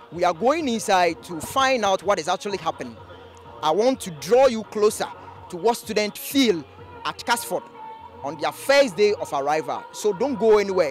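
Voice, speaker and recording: Faint music plays in the background as a man talks. His moderate pace sounds dry, with no echo. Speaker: TV presenter. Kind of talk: presenter piece to camera. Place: street. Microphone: handheld.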